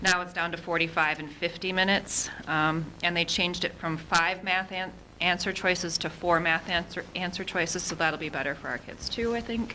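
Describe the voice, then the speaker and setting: Over noticeable background noise, a woman speaks in a fairly low pitch with fairly even intonation. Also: hardly any pauses. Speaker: school administrator. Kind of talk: report to school board. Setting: school board meeting. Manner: fast.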